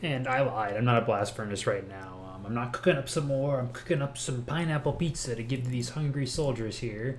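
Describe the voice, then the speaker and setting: Amid audible room echo, a man speaks at a fairly quick pace and medium pitch. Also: ordinary pitch variation, hardly any pauses. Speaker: gaming YouTuber. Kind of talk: gameplay commentary. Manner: casual, with fillers; fast.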